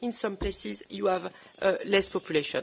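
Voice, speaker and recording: This woman has a French accent. She keeps her delivery at a moderate pace. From southern France. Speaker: former politician. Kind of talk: panel discussion. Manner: halting.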